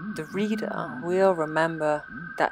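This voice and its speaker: Over music in the background, a woman speaks at a fairly slow pace with very wide pitch swings. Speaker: audiobook narrator. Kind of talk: horror story narration, literary reading.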